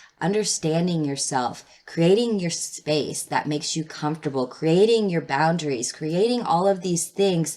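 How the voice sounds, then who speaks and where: This is a plain, everyday voice at a moderate pace with hardly any pauses. Its pitch varies in an ordinary way. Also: woman, fairly low pitch for a woman. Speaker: tarot reader. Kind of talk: tarot reading. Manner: casual, filler words.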